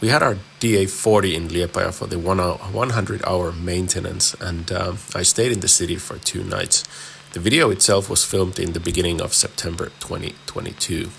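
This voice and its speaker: A man's very deep, low voice at a fairly quick pace, fairly even in intonation, over noticeable background noise. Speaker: private pilot. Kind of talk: video voiceover narration.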